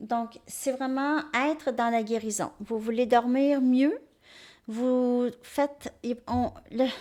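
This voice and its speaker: On a very clean recording with a silent background, a woman with a high pitch speaks at a very slow pace in a dark, mellow tone with fairly even intonation. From Quebec. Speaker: tarot reader. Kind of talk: tarot reading monologue.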